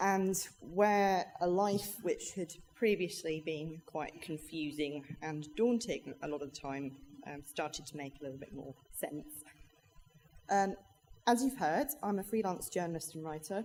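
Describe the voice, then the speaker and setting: A woman with an English accent speaks at a fairly slow pace in a fairly low pitch. Her intonation is lively and her loudness swings widely. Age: 30s. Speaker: freelance journalist and dyspraxia advocate. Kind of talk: conference talk. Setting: stage with audience. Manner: hesitant, many fillers.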